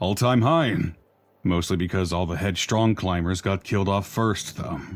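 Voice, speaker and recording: A man uses a put-on character voice with a very deep, low pitch at a moderate pace. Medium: video game. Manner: tired, thoughtful.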